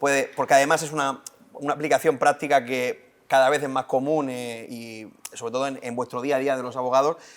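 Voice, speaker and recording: A man with a Murcian accent at a very fast pace. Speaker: podcast host, journalist. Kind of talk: interview.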